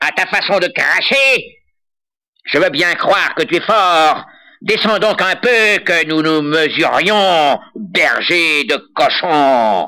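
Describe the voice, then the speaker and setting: A loud, creaky, put-on character voice at a very slow pace, on a very clean recording with a silent background. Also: man, high pitch for a man. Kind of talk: folk tale acting. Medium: read story. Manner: loud, blustering.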